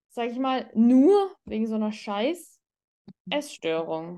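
A woman with a dark, mellow tone and a fairly high pitch speaks at a fairly slow pace. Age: 30s. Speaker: doctor and psychologist. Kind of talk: casual interview chat.

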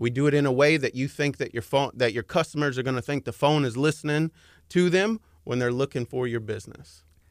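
A very fast, fairly high-pitched male voice with a Texan accent and ordinary pitch variation, dry and close with no echo on a very clean recording with a silent background. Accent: Texan American. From Dallas, Texas. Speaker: advertising consultant. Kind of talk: radio interview. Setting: radio studio.

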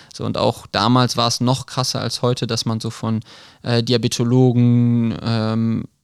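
Recorded very clean against a silent background, a man with a plain, everyday voice speaks at a medium pitch and moderate pace, his intonation fairly even. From western Germany, Krefeld. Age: 20s. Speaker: field hockey player and medical student. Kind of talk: podcast interview. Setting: studio.

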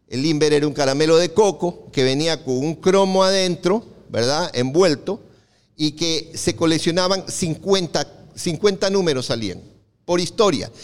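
Ordinary in pitch variation and slightly slow, a man talks in an unremarkable speaking voice that sits fairly high. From Ecuador, Guayaquil. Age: 60s. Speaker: comic collector. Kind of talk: talk to live audience.

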